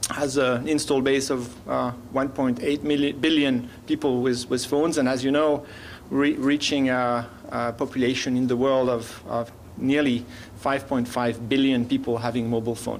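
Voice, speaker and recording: The voice comes with a French accent and a monotone, flat intonation at a moderate pace. Loudness stays very even, and room echo is audible. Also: man, medium pitch for a man. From France. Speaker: business development director, panelist. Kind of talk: conference presentation.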